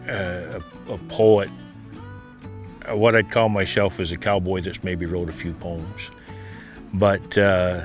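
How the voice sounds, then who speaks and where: Over music in the background, a man with an American accent and a very deep, low pitch speaks very slowly with fairly even intonation and long, frequent pauses. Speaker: cattle rancher and cowboy poet. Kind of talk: interview answer.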